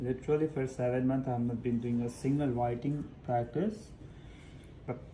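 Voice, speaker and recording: A man speaks with a dark, mellow tone at medium pitch, somewhat breathy. His pace is moderate and his pitch variation ordinary. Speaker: english test candidate streaming practice. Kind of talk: reading aloud practice mixed with casual talk. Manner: repetitive, self-correcting.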